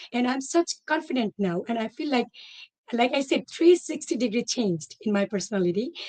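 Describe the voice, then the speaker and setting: Speaking at a fairly quick pace with a non-native accent, a woman uses a high pitch and very wide pitch swings, her sound dry and close with no echo. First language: not English. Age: 40s. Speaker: former teacher turned entrepreneur. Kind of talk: testimony. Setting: live online session.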